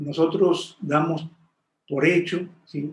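The man's voice is somewhat breathy. His pitch shows ordinary variation. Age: 60s. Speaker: meditation teacher. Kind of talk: interview. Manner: halting.

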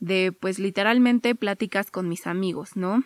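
A woman speaks at a medium pitch with fairly even intonation. The recording is very clean and dry, close and free of echo, with a silent background. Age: 20s. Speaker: podcast host, psychologist. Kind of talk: casual monologue.

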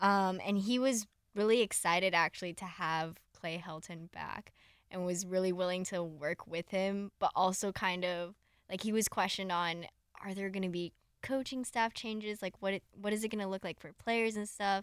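A woman with an American accent speaks at a moderate pace, with medium pitch and fairly even intonation. The recording is very clean, dry and close, with a silent background and no echo. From Southern California. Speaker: student journalist and podcast host. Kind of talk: casual chat.

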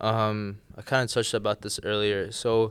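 At a moderate pace, a man speaks in a normal speaking voice at a medium pitch on a very clean recording with a silent background. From US, moved around (Chicago, Jordan, Tennessee, Florida). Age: 20s. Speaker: college student, new podcast co-host. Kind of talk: casual chat.

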